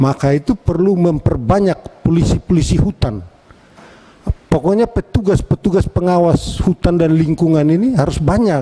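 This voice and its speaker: A man talks at a high pitch and a moderate pace, with ordinary pitch variation and very even loudness. The sound is dry and close with no echo, though noticeable background noise is present. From East Nusa Tenggara, Indonesia (Atambua, Timor). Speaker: member of parliament. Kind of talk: parliamentary hearing speech. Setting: committee meeting room. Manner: firm and direct.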